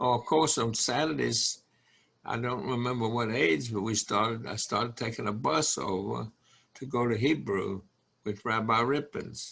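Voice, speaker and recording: A man speaks with an American accent at a medium pitch and a moderate pace. His voice carries vocal fry and ordinary pitch variation. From North Carolina (Burlington). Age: 90s. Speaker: congregation elder. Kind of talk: interview. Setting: video call.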